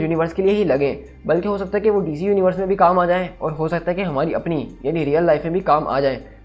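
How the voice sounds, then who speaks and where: Over background music, a man talks at a very fast pace with a high pitch and fairly even intonation. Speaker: YouTube explainer host. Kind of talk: explainer video monologue. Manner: casual, conversational.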